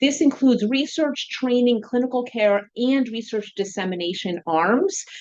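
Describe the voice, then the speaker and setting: A woman speaks at a moderate pace in a high voice, her intonation lively and her delivery hardly pausing. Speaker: professor and researcher. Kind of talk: lecture.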